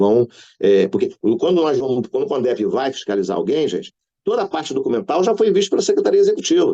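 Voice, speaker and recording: Talking at a very fast clip, a man is heard in a dry, close recording without any echo. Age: 60s. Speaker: care home manager and elder-rights council member. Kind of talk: round-table panel talk. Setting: live-streamed online panel. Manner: casual, colloquial with slang and filler.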